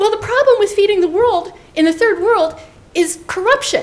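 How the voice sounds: A woman puts on a squeaky character voice, pitched extremely high. She speaks at a moderate pace.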